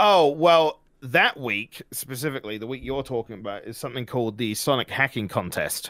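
With a normal speaking voice at medium pitch, a man talks at a fairly quick pace with lively intonation and hardly any pauses, the sound dry and close with no echo. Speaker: streamer and youtuber. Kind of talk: casual interview chat.

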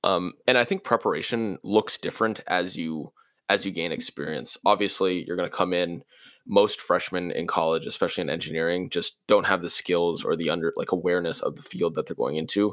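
A man talks at a fairly quick pace. The sound is dry and close with no echo, on a very clean recording with a silent background. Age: 20s. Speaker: college student and intern. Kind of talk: casual interview. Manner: halting, frequent repetitions.

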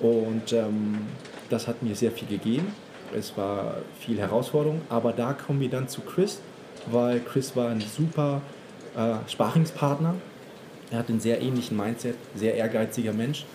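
A man with a medium pitch speaks at a fairly slow pace with ordinary pitch variation. He leaves long, frequent pauses. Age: 30s. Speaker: fashion retail manager. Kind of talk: casual interview. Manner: hesitant, many fillers.

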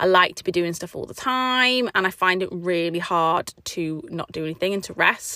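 With an English accent, a woman speaks at a moderate pace and medium pitch, her bright, sharp tone showing ordinary pitch variation, big swings in loudness and hardly any pauses. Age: 30s. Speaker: podcast host. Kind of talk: casual monologue.

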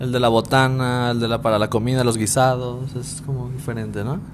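Over noticeable background noise and with audible room echo, a man at a medium pitch speaks in a monotone, flat intonation. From Mexico, Ciudad Juárez. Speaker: podcast guest. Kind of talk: casual chat.

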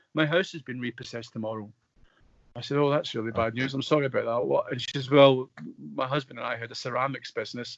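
Talking at a very fast pace, a man uses medium pitch and ordinary pitch variation. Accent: west of Scotland. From Scotland, Coatbridge (west coast). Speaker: actor. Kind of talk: casual interview.

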